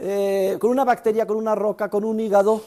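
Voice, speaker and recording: A man talks at a fairly quick pace. His voice is high-pitched, with a dark, mellow tone. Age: 60s. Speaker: economics professor. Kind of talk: university lecture. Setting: classroom with students. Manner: animated.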